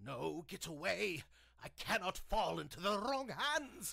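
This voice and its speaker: At a fairly slow pace, the man puts on a character voice pitched high. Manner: scared, then trance-like.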